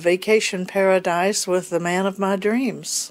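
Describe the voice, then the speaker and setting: A woman speaks at a medium pitch. Her intonation stays monotone and flat. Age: 70s. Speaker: retiree, family member interviewee. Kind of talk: casual interview.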